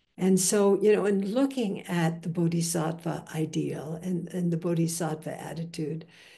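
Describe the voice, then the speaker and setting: A woman with an American accent speaks at a moderate pace with hardly any pauses. Her fairly low voice is somewhat breathy, with a dark, mellow tone and ordinary pitch variation. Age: 80s+. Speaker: Buddhist teacher. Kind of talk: dharma talk. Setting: video call. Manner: halting, with frequent fillers.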